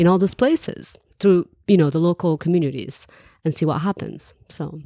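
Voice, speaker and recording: A woman speaks with a Moroccan accent in a dark, mellow tone and a fairly low pitch. The sound is dry and close with no echo, in a very clean recording with a silent background. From Morocco. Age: 20s. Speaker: entrepreneur and traveler. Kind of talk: interview conversation.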